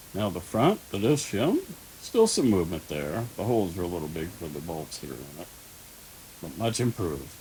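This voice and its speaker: Somewhat breathy and very deep, a man's low voice moves at a moderate pace with lively intonation and big swings in loudness. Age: old. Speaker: RC hobbyist YouTuber. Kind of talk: tutorial. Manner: casual.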